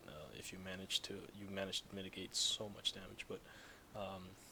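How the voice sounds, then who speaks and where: This is a man speaking. His pitch is fairly low. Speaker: gaming YouTuber. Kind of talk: gameplay tutorial. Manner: soft, hushed.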